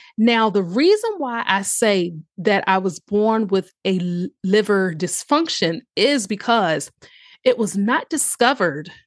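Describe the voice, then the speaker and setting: A woman with an American accent speaks at a very slow pace with lively intonation against a quiet background. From US South, southeastern Virginia (Tidewater area). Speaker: holistic health and empowerment coach, podcast host. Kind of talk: monologue podcast, personal story.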